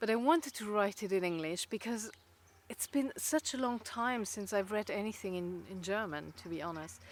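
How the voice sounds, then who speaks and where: On a very clean recording with a silent background, a woman with a non-native accent speaks at medium pitch with lively intonation. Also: moderate pace. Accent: noticeable foreign. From Luxembourg. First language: Luxembourgish. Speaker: writer and video blogger. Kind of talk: casual chat. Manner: halting, many fillers.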